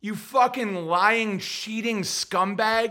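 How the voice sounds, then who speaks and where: Very slowly, a man speaks in a raised, projected voice with a bright, sharp tone. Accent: American. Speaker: livestream podcast host. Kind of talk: casual livestream monologue with commentary. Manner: rambling, profane, opinionated.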